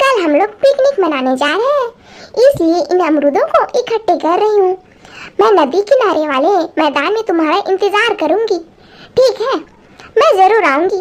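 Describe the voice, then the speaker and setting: The woman adopts a put-on character voice pitched extremely high, keeping to a moderate speed. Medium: read story.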